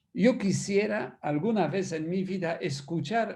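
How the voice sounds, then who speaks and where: In a Polish accent, a man speaks with a high pitch, a dark, mellow tone and lively intonation, with audible room echo. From Poland. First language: Polish (speaking Spanish). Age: 60s. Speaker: priest and musicologist. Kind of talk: lecture. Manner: animated.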